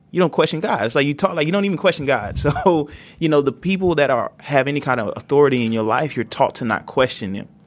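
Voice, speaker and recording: On a very clean recording with a silent background, a man with a fairly high pitch speaks at a very fast pace. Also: lively intonation. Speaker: podcast sound designer and inmate. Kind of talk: panel discussion. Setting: prison.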